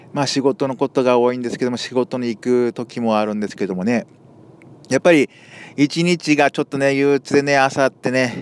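An ordinary speaking voice at a moderate pace with ordinary pitch variation, in a dry, close sound with no echo. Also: man, medium pitch for a man. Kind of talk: casual talk to camera. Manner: casual, chatty.

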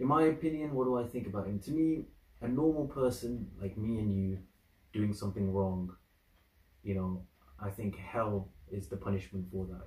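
A man's fairly low, somewhat breathy voice at a fairly quick pace with audible room echo. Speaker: reaction video creator. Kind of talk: casual vlog chat. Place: home room. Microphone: camera far.

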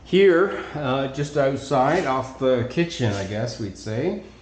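Amid audible room echo, a man talks at a fairly slow pace. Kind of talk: property tour narration. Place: home room. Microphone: phone near.

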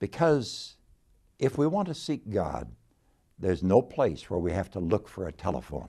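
The voice has a dark, mellow tone with vocal fry and very wide pitch swings. It moves at a fairly slow pace over a quiet background. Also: man. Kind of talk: devotional talk. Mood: warm, gently humorous. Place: office. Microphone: lapel.

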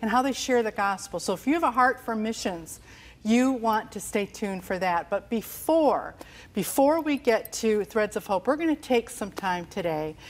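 A woman at a moderate pace with lively intonation. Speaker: TV show host. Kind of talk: show introduction to camera. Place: studio. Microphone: lapel.

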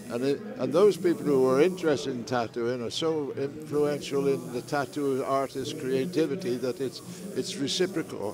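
Over noticeable background noise, a man with a fairly high pitch speaks at a moderate pace with lively intonation, the sound dry with no echo. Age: 80s+. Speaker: tattoo artist. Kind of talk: interview answer. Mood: warm, enthusiastic. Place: hall. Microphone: lapel.

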